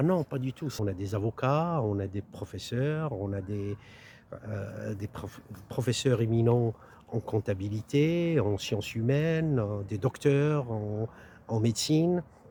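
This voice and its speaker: Speaking at a very slow pace, a man sounds somewhat breathy with a dark, mellow tone. His pitch is medium and his intonation lively. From northern France, Lille. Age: 60s. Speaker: political candidate. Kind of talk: interview. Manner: halting, frequent hesitations.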